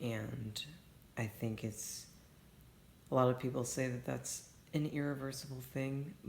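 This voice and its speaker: Long, frequent pauses mark a somewhat breathy man's fairly slow speech, with audible room echo. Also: medium pitch for a man. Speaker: vlogger documenting detransition. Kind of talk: personal video diary. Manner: halting.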